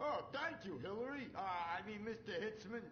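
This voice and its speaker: A man does a put-on character voice, high-pitched for a man, at a moderate pace over clear background noise. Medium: video game. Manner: loud, enthusiastic, dim.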